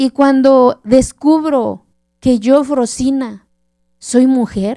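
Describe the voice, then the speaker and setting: At a very slow pace, a woman speaks in a passionate, dark, mellow tone at a high pitch with fairly even intonation. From Oaxaca mountains, southern Mexico, Zapotec village. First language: Zapotec (speaking Spanish). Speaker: keynote speaker. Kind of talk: keynote lecture. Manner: passionate storytelling.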